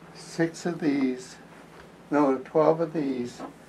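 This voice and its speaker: A man at a very slow pace over light background noise. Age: 80s+. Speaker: quilter. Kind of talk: casual talk to camera. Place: home room. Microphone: camera far.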